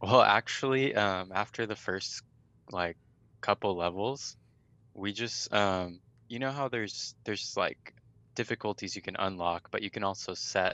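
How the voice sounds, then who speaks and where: A man speaks at a fairly slow pace in a fairly low pitch, with ordinary pitch variation. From California, Riverside. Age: 20s. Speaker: gamer guest. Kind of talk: casual chat. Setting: video call.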